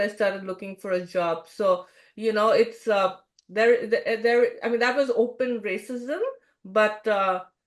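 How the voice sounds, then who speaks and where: With an Indian accent, a woman speaks at a fairly slow pace in a fairly high pitch. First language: not English. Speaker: expat community founder. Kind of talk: interview.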